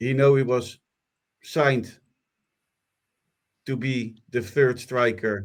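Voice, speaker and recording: Speaking at a very slow pace with long, frequent pauses, a man with a non-native accent keeps his medium-pitched voice at a fairly even intonation. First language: not English. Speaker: football podcast host. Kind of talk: casual chat. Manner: hesitant, with fillers.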